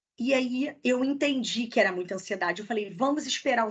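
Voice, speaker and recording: In a strong Rio accent, the speaker's bright, sharp voice carries lively intonation over a quiet background. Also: woman. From Rio de Janeiro, Niterói. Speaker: HR recruiter, career mentor. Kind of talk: online masterclass, casual Q&A. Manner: fast.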